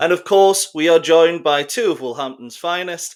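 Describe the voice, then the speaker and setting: The speaker talks at a moderate pace with a Geordie accent. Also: man. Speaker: football podcast host. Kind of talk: casual podcast discussion. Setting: online call.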